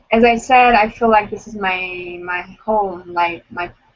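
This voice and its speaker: In a Romanian accent, a woman speaks at a fairly slow pace, her medium pitch holding a fairly even intonation. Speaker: blind date participant. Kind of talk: casual chat.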